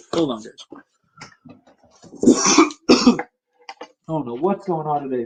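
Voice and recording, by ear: A man puts on a raspy character voice with a fairly high pitch, lively intonation and big swings in loudness, speaking at a very slow pace.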